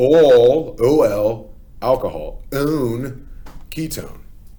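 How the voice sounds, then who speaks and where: A man's dark, mellow voice with audible room echo. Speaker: chemistry teacher. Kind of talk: lecture. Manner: casual with many fillers (okay, uh, um).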